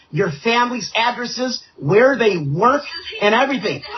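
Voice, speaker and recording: A man's extremely high-pitched voice with lively intonation, amid noticeable background noise. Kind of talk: heated debate. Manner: repetitive, agitated. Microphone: echo from his speakers.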